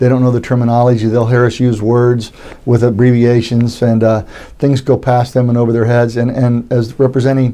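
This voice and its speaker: Very fast speech from a man, medium in pitch. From Florida, Tampa. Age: 60s. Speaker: judicial candidate. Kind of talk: interview. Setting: studio.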